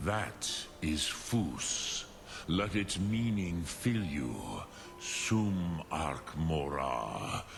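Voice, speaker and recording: A man's put-on character voice, very deep and low in pitch, at a very slow pace over loud background noise. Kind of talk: ancient mystical teacher. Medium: video game. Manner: slow, solemn, measured.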